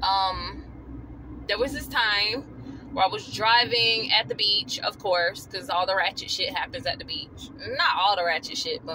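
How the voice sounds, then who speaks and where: Noticeable background noise runs under this recording. A woman talks at a fairly slow pace. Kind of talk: casual vlog storytelling. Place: car. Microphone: phone near.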